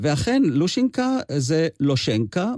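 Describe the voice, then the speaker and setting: A man's dark, mellow voice comes through in a dry, close sound with no echo, on a very clean recording with a silent background. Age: 80s+. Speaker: amateur singer and translator. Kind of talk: radio interview. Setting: radio studio.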